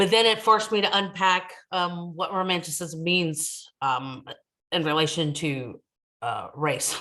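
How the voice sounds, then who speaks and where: A woman's fairly low, bright, sharp voice with an American accent, a fairly slow pace and ordinary pitch variation. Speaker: ethnomusicologist, university academic. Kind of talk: academic talk at virtual book launch. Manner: halting, many fillers.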